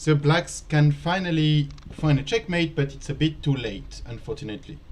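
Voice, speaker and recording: Moderate pace in a French accent. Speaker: chess teacher. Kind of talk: live commentary. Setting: live stream studio.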